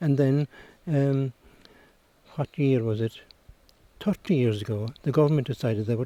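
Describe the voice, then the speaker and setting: A man speaks at a fairly quick pace with a Cork accent, his pitch medium and its variation ordinary. Long, frequent pauses break up his speech, and the sound is dry and close with no echo. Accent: Cork Irish. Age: 80s+. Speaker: retired teacher and local historian. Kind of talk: interview.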